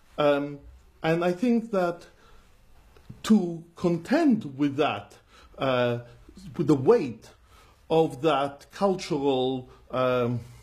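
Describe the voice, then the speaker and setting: At a very slow pace with long, frequent pauses, a man with a non-native accent speaks at a fairly high pitch and with lively intonation. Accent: non-English accent despite being a Londoner. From London. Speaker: rabbi. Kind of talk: interview conversation.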